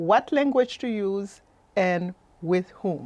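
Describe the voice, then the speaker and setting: Very slowly, a woman with a French accent speaks at a medium pitch with ordinary pitch variation. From Haiti. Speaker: life coach and workshop presenter. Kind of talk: presentation. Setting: webinar.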